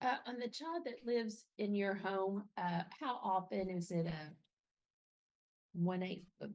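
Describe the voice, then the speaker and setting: A woman speaks at a fairly slow pace with a medium pitch and lively intonation. Her pauses are long and frequent. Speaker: judge. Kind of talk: court hearing. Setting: courtroom. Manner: loud.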